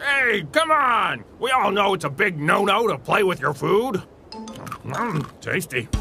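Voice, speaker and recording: With clear background noise behind him, a man uses a high-pitched, cartoonish character voice at a fairly slow pace. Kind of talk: comic overacting. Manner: pompous, blustering.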